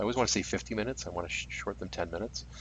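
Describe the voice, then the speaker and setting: Vocal fry runs through this speech in a Canadian accent. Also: man. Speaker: livestream game commentator. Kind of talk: live commentary. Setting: furnace room, live stream.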